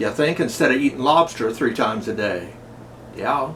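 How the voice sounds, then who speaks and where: With very wide pitch swings, a man speaks in an American accent at a moderate pace amid noticeable background noise. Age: 70s. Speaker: YouTuber. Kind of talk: personal video message. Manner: folksy, conversational.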